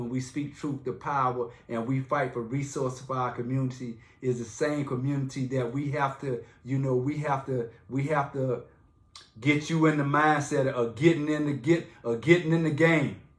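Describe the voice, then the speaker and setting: Moderately paced and somewhat breathy, a man speaks at a fairly high pitch. His intonation stays monotone and flat. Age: 50s. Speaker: community activist. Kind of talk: live stream talk. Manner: repetitive, halting restarts; impassioned.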